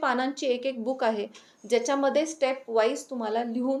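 High-pitched female speech, fairly even in intonation. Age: 40s. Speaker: doctor and wellness coach. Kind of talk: interview.

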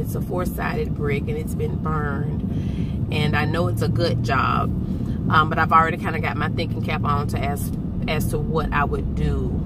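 The sound is dry with no echo, and loud background noise runs underneath. The speech moves at a moderate pace. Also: woman. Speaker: vlogger. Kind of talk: casual vlog chat. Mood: relaxed, upbeat. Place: car. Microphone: phone near.

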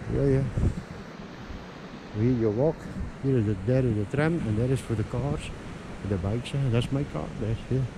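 A man talks at medium pitch and a moderate pace, with ordinary pitch variation. Long, frequent pauses break his speech, and background noise is clearly heard.

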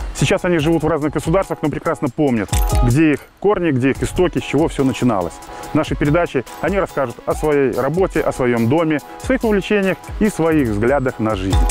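A man talks at a fairly quick pace with a fairly high pitch. Clear music plays in the background, and the sound is dry with no echo. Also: lively intonation. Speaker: interviewer, show host. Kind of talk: show introduction and interview questions. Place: garden. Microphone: lapel.

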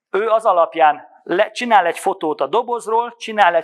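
The background is quiet as a man speaks at a moderate pace. His pitch varies in an ordinary way. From Hungary. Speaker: business development manager; presenter. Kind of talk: conference presentation. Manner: halting. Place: hall. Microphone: handheld.

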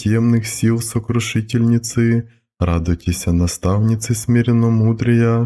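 Very slow, fairly even delivery from a man with a dark, mellow tone, on a very clean recording with a silent background. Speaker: priest reading a prayer. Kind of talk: Orthodox akathist prayer reading.

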